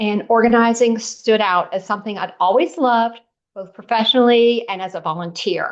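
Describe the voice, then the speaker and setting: A woman talks at a moderate pace in a fairly high pitch with ordinary pitch variation. Hers is an unremarkable speaking voice, set against a quiet background. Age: 60s. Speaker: professional organizer. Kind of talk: interview.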